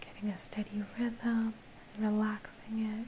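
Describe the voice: Over faint background noise, a dark, mellow voice moves at a fairly slow pace with monotone, flat intonation. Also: woman, medium pitch for a woman.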